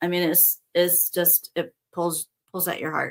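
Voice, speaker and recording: Here is a woman with a plain, everyday voice. She speaks at a fairly slow pace. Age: 60s. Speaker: spiritual teacher. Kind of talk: casual spiritual talk show.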